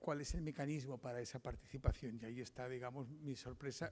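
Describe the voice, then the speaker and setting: A man's dark, mellow, medium-pitched voice at a fairly quick pace with fairly even intonation. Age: 60s. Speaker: journalist giving a lecture. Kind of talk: lecture. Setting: conference with audience. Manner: halting.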